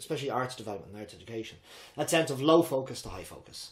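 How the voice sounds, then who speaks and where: A man speaks with an Irish accent. His intonation is lively. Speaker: drama teacher and improv coach. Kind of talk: interview. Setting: at the host's home. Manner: fast; high energy.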